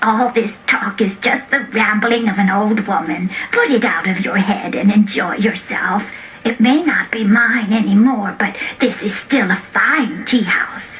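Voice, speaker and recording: Over clear background noise, a woman uses a put-on character voice at a fairly high pitch with ordinary pitch variation. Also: moderate pace. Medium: game stream. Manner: gentle, rambling.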